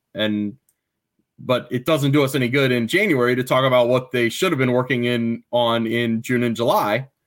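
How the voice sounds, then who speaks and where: A man speaks with a plain, everyday voice, medium in pitch. His pace is moderate and his loudness very even. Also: fairly even intonation. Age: 30s. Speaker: sports journalist. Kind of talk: casual chat.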